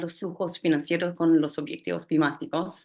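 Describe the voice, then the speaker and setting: A woman speaks with a Brazilian accent at a moderate pace. Her intonation stays flat and monotone. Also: quiet background. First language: Portuguese (speaking Spanish). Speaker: climate policy director. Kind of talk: panel presentation. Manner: halting, many fillers.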